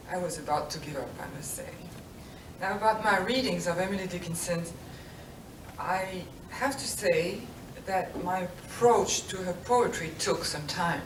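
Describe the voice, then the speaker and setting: Heard through audible room echo and noticeable background noise, a woman of medium pitch talks at a moderate pace, with long, frequent pauses and big swings in loudness. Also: ordinary pitch variation. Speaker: book artist and engraver. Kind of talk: lecture. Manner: halting.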